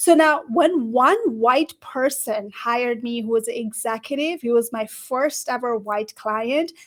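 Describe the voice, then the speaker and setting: In a Nepali accent, a woman speaks at a fairly slow pace and a high pitch with ordinary pitch variation. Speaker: career coach. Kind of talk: livestream panel discussion. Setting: livestream video call.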